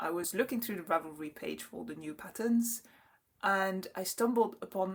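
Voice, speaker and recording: A woman with a French accent, medium pitch, ordinary pitch variation and a moderate pace. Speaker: knitting podcaster. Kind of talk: casual chat. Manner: halting.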